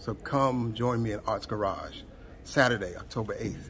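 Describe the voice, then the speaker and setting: Light background noise can be heard as a man speaks. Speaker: performance poet. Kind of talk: spoken word poetry event promo. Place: stage. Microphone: phone near.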